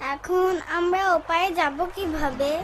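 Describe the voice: An extremely high-pitched cartoonish character voice is performed here. Clear background noise sits behind it.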